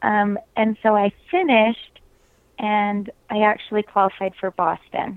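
In an unremarkable speaking voice with an American accent, a woman speaks at a fairly slow pace in a fairly high pitch with ordinary pitch variation. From US, southern Utah. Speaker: runner and triathlete. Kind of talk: interview.

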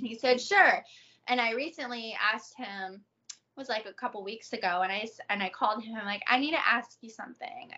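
In an ordinary speaking voice with an American accent, a woman talks at a fairly quick pace with a fairly high pitch. Her intonation is lively, with big swings in loudness. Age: 30s. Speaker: adult content creator. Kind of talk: casual interview.

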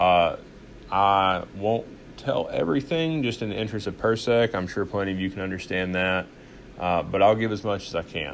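The speaker has a Southern US accent and talks at a moderate pace. The pitch varies in an ordinary way. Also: man, fairly low pitch for a man. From US South, Arkansas. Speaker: podcast host. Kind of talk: casual monologue. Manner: halting, many fillers.

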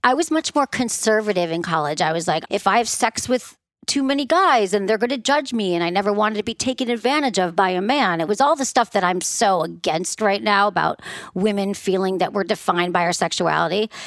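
Speaking fairly quickly in a Midwestern American accent, a woman with a medium pitch sounds animated, her intonation lively. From US Midwest. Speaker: sex therapist. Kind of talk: casual interview chat.

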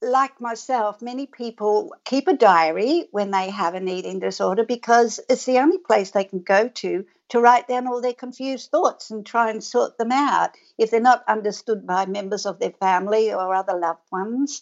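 A woman speaks at a moderate pace with an Australian accent, her pitch fairly high. Her intonation varies in an ordinary way, and she hardly pauses at all. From rural Victoria, Australia. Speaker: author and researcher. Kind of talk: interview.

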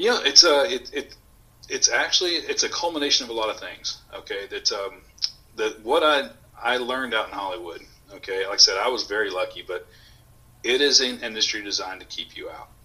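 A man's loudness swings widely as he talks at a fairly quick pace over noticeable background noise. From Houston, Texas. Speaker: coffee company owner and former Marine. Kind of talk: casual interview.

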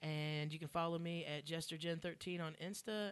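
This woman has a Southern US accent and a fairly low pitch. Her intonation stays fairly even. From Columbia, South Carolina. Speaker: comedian. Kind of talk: casual chat.

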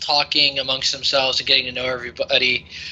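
The voice reads in an unforced way. It is an unforced reading voice.

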